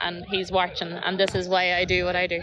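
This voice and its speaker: With a Northern Irish accent, a woman talks at a moderate pace in a flat, monotone voice of medium pitch. Noticeable background noise sits behind her. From Northern Ireland, County Armagh. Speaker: road bowling live streamer and commentator. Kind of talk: live commentary.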